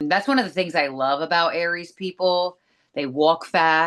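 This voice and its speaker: A woman's normal speaking voice, fairly low in pitch with ordinary pitch variation, over a quiet background. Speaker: podcast co-host. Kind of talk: casual chat.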